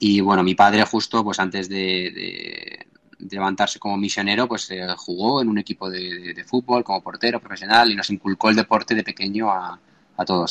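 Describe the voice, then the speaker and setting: This man's voice sits at a fairly low pitch with monotone, flat intonation. The sound is dry and close, with no echo. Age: 30s. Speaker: entrepreneur and open-water swimmer. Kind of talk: interview. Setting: remote call. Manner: halting, many repetitions.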